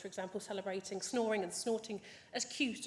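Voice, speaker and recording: Amid audible room echo, a woman talks fairly quickly at a fairly high pitch. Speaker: veterinary welfare scientist, senior lecturer. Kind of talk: conference talk. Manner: fast.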